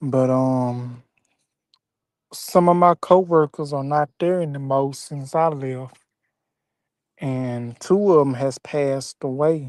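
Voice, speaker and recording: Someone with a Southern US accent speaks at a very slow pace, with long, frequent pauses, over a quiet background. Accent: Southern twang. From Mississippi. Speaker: former grocery store worker. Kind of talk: casual chat.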